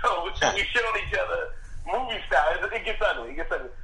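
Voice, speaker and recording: A man is speaking here. There is noticeable background noise and audible room echo. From Philadelphia, US. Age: 20s. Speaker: stand-up comedian and podcast co-host. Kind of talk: casual chat. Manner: halting, many restarts.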